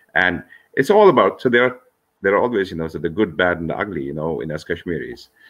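A man's very deep, low voice at a very fast pace. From Kashmir, Srinagar; Kashmir. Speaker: author and engineer; guest. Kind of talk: interview. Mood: earnest, reflective. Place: home room. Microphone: video call.

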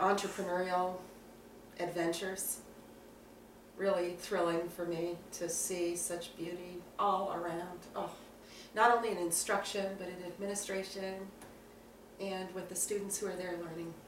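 A woman speaks at a moderate pace with long, frequent pauses, over light background noise and audible room echo. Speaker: student interviewer, self-described straight ally. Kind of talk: casual interview. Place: home room. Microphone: camera far.

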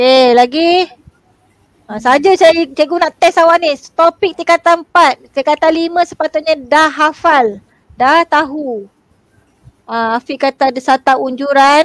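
A woman speaks at a fairly slow pace with a high pitch and ordinary pitch variation. The sound is dry with no echo, against a quiet background. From Malaysia. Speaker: secondary school teacher. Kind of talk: online exam revision class. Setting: video call livestream. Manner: animated, laughs often. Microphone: video call.

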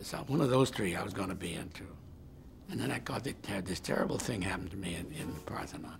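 A man whispers at a fairly quick pace. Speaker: interviewee. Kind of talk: interview answer. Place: office.

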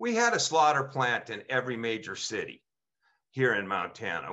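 A man's voice with very wide pitch swings, a moderate pace and a quiet background. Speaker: state farmers union president; panelist. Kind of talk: panel presentation. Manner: passionate, animated. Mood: passionate, indignant. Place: home room. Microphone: video call.

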